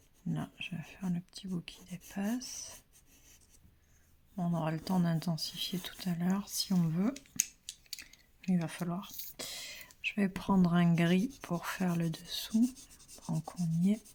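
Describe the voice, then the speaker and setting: Soft-spoken and somewhat breathy, a woman talks at a very slow pace with long, frequent pauses, a dark, mellow tone, fairly low pitch and ordinary pitch variation. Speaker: pastel drawing teacher. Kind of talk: tutorial. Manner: hesitant, many fillers.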